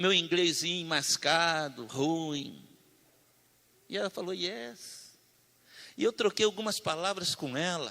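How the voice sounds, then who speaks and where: A man with a high pitch and a bright, sharp tone speaks very slowly, with long, frequent pauses and ordinary pitch variation. The recording is very clean, with a silent background. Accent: strong Brazilian. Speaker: preacher. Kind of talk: sermon.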